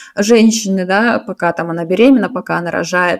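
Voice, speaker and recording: A woman talks in a normal speaking voice at a moderate pace. Her medium pitch shows ordinary variation. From Russia, St Petersburg. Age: 20s. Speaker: podcast co-host. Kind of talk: casual chat.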